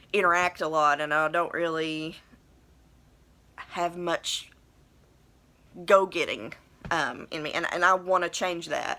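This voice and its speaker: In a strong Appalachian accent, a woman with a fairly low pitch and a bright, sharp tone speaks at a fairly slow pace with fairly even intonation and long, frequent pauses, on a very clean recording with a silent background. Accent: thick Appalachian. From southern West Virginia. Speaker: vlogger. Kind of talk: personal video blog monologue. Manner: hesitant, many fillers; trying to enunciate.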